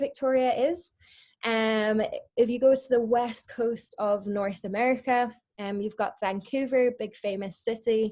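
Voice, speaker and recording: In a Scottish accent, a woman speaks with a dark, mellow tone at a fairly high pitch and a fairly slow pace. Her pitch varies in an ordinary way, and the recording is very clean with a silent background. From Scotland. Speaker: marine biologist. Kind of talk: educational presentation. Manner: frequent filler ums.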